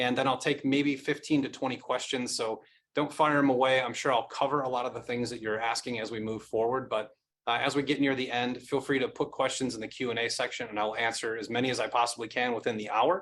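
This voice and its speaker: Speaking very fast, a man holds a medium pitch with fairly even intonation. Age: 40s. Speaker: company executive presenting to investors. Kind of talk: webinar presentation. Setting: online webinar. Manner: concise.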